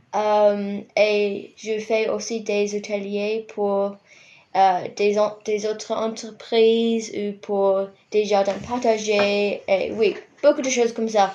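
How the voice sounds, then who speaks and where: A woman's very slow, fairly high-pitched voice with an English accent, dark and mellow in tone, with monotone, flat intonation over a quiet background. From New Zealand, Rotorua. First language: English (speaking French). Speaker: university student and compost educator. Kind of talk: radio interview. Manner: hesitant.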